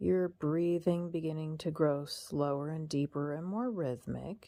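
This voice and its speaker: A woman with a very deep, low pitch and a dark, mellow tone speaks at a fairly slow pace in a calm tone. Her pitch varies in an ordinary way over a quiet background. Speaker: hypnotherapist. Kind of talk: hypnosis induction. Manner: low, calm.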